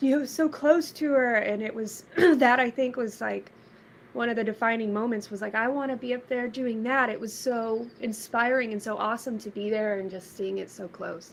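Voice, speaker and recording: A woman with an American accent and a plain, everyday voice, fairly high in pitch, ordinary pitch variation and a moderate pace. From Texas, Red Oak south of Dallas. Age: 30s. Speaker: musician. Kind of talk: interview. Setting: live stream.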